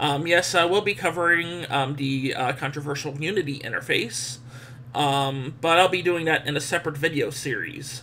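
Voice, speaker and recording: Ordinary pitch variation in a male voice, fairly high, at a moderate pace over noticeable background noise. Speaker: tech video reviewer. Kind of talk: software review screencast. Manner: hesitant, many fillers.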